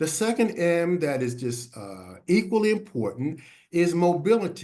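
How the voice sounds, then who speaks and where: A man's high voice with a dark, mellow tone, lively intonation, big swings in loudness and a moderate pace. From US Northeast (Philadelphia). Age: 70s. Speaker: health educator on HIV and aging. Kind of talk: webinar presentation. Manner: halting, many filler words.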